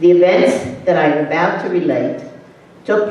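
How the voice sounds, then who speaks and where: A woman's fairly low voice with ordinary pitch variation at a fairly slow pace, plus noticeable background noise and audible room echo. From Hungary (now Romania). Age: 80s+. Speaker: Holocaust survivor. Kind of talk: testimony. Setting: school audience.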